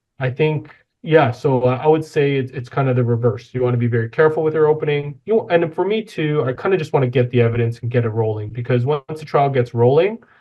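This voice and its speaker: A man with a Canadian accent rattles along at a very fast pace with hardly any pauses, medium pitch and ordinary pitch variation. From Toronto, Canada (Rexdale, Etobicoke). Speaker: personal injury lawyer. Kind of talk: interview conversation. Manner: not loud.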